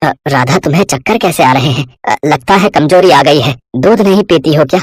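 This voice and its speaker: A man's put-on character voice, fairly high in pitch with lively intonation and a fairly quick pace, in a dry, close sound with no echo. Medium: read story.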